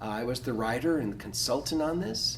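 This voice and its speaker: There is music in the background and audible room echo as a man speaks. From US Pacific Northwest, Portland, Oregon. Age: 60s. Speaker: pastor. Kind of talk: workshop talk. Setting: workshop room with audience. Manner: halting, with fillers.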